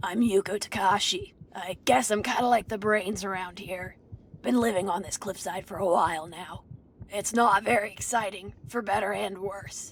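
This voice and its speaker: A put-on character voice from a woman, raspy and medium-pitched, with fairly even intonation at a moderate pace. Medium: video game. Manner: wry, practical.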